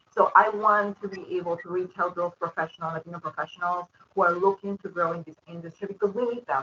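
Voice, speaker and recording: Speaking at a very fast pace, a woman with a Spanish accent keeps a fairly low pitch and fairly even intonation. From Peru. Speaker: credit union professional, board member. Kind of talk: webinar panel answer.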